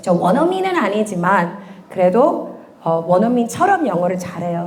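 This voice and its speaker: A woman speaks at a fairly slow pace in an animated tone with lively intonation, with audible room echo and noticeable background noise. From USA. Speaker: church education minister. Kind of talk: parent information session.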